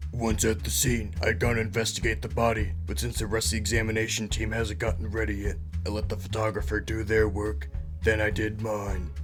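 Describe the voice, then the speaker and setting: Over loud music in the background, a man with a very deep, low pitch talks at a fairly quick pace. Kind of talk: hard-boiled voice-over. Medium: solo performance. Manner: deadpan, brooding.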